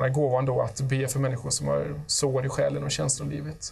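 A man, moderately paced, with quiet surroundings. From Sweden. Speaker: guest giving testimony; guest. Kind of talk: testimony. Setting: studio. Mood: calm, earnest. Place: studio. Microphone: lapel.

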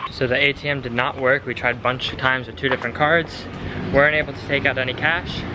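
Noticeable background noise surrounds a man who speaks very fast. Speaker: travel vlogger. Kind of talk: casual vlog chat. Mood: mildly frustrated, good-humored. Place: street. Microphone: phone near.

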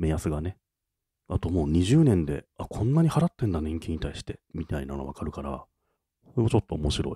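Sounding dry and close with no echo in a very clean recording over a silent background, a man talks at a fairly quick pace in a dark, mellow tone with lively intonation. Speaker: podcast co-host. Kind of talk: casual chat.

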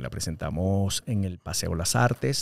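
The speaker is a man. His pitch is very deep and low. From Venezuela, Caracas. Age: 40s. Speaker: actor and radio host; actor, radio host. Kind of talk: casual interview. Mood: relaxed, humorous. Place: studio. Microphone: studio mic.

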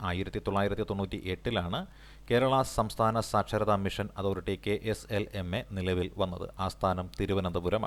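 A man speaks in a monotone with flat intonation, his fairly low voice catching in vocal fry. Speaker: exam coaching teacher. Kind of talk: lecture. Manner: repetitive, dictation-like pacing.

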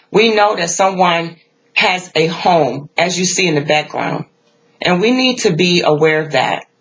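This woman's pitch is fairly low. She talks at a fairly slow pace. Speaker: tarot reader. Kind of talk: tarot reading commentary. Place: home room. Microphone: phone near.

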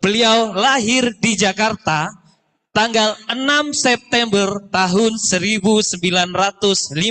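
A man speaks very slowly in a high pitch with ordinary pitch variation. The background is quiet. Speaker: master of ceremonies; event emcee. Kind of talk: event hosting, casual chat. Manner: animated, joking. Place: hall. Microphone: handheld.

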